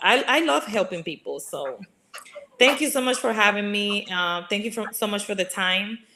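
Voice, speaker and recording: With a Spanish accent, a woman speaks at a medium pitch. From Dominican Republic. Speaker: regional sales director. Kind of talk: casual interview.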